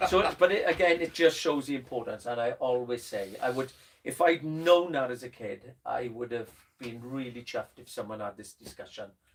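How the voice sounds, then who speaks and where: A man with a Welsh accent talks at a medium pitch and a moderate pace. His pitch varies in an ordinary way, while his loudness swings widely. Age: old. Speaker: drum teacher. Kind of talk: casual chat. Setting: studio.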